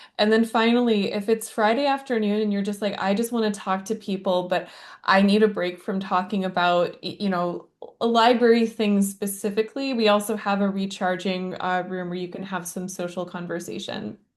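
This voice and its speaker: A woman talks at a moderate pace in an ordinary speaking voice, her pitch medium and her intonation fairly even. The background is quiet. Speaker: conference organizer. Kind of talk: event announcements.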